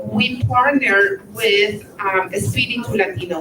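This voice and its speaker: With a Spanish accent, a woman speaks very slowly over noticeable background noise. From Colombia. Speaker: immigration attorney. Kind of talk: luncheon speech.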